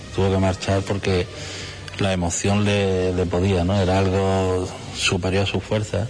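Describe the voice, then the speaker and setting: There is noticeable background noise as a man speaks at a fairly slow pace with a very deep, low pitch. His intonation is monotone and flat, and his loudness stays very even. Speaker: brotherhood head. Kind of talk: interview.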